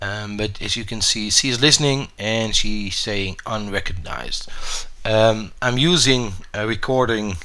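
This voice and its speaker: A voice with a Dutch accent has a bright, sharp tone and ordinary pitch variation at a fairly slow pace. Room echo can be heard. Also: man. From Netherlands. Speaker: gaming YouTuber. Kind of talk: tutorial. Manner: hesitant, many fillers.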